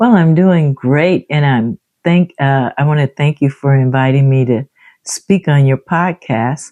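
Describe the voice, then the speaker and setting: A dark, mellow tone with an American accent, very even loudness, a fairly slow pace and ordinary pitch variation, in a dry, close sound with no echo. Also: woman, very deep, low pitch for a woman. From California, Los Angeles. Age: 70s. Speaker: civil rights era community speaker. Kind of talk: interview. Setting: podcast.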